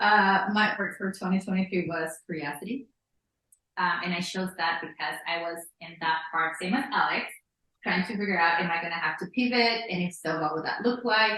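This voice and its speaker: At a moderate pace, a woman with a non-native accent talks at a medium pitch with ordinary pitch variation. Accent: noticeable non-native. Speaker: therapist and consultant. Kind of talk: casual chat. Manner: halting, many fillers.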